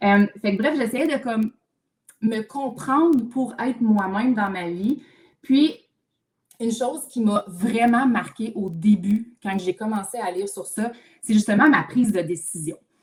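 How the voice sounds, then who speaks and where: Animated in tone, a woman with a Quebec accent speaks at a fairly high pitch with ordinary pitch variation. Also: fairly slow pace. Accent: Québécois French. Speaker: mental load specialist, therapist. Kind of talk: live video chat. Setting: livestream video call. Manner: loud when enthusiastic.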